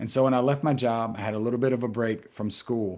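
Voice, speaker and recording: A man with a South Carolina accent talks at a very fast pace. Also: quiet background. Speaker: mental health professional and author. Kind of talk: interview conversation.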